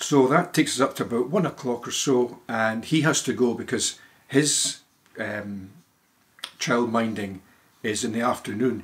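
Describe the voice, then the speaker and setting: A man at a moderate pace with ordinary pitch variation and long, frequent pauses. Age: 70s. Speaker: retired lawyer. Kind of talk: casual interview answer. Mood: relaxed, chatty. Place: home room.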